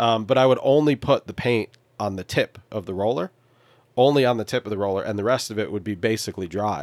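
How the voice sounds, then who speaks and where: Speaking at a very fast pace, a man with a medium pitch shows ordinary pitch variation on a very clean recording with a silent background. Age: 30s. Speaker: sailor living aboard a boat. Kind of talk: casual chat.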